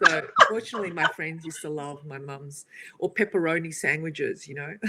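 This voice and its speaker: A woman with an Australian accent, fairly low in pitch, with ordinary pitch variation, over noticeable background noise. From Australia, Italian family. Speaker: co-host. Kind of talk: casual chat.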